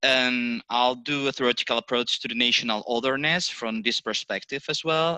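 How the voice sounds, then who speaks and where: Against a quiet background, a man with a non-native accent speaks at a moderate pace in a medium pitch with ordinary pitch variation. His tone is bright and sharp, and the sound is dry and close with no echo. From Basque Country, Spain. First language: Spanish or Basque. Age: 40s. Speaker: professor. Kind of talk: lecture. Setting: webinar.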